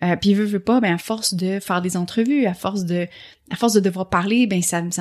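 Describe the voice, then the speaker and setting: On a very clean recording with a silent background, a woman speaks fairly quickly at a medium pitch with ordinary pitch variation. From Quebec. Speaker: entrepreneur and podcaster. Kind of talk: testimony.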